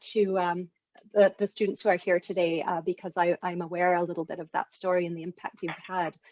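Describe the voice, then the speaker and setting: A plain, everyday voice talks at a fairly quick pace. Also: woman. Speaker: interviewer, academic. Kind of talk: interview questions.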